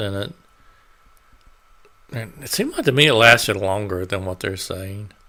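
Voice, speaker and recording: Mumbling at a moderate pace, a man speaks with a fairly low pitch and lively intonation. His tone is bright and sharp. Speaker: YouTuber. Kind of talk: casual vlog commentary. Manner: halting, hesitant.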